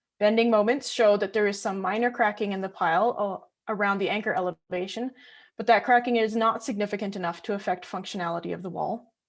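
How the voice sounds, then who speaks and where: The speech moves at a very fast pace. Its intonation is fairly even. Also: woman, medium pitch for a woman. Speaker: graduate student and geotechnical engineer. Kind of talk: research presentation.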